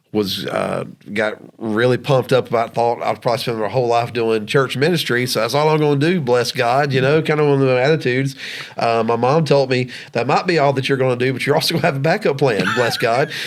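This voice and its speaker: Talking at a very fast pace in a Southern US accent, a man holds a medium pitch with ordinary variation and very even loudness. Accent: Southern twang. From US South, Georgia. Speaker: podcast co-host, former minister. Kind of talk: casual chat. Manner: halting, many fillers.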